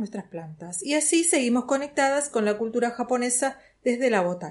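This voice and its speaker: A woman's voice is high in pitch and moves at a moderate pace. Behind her, the background is quiet. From Buenos Aires, Argentina. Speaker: plant workshop teacher. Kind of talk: interview.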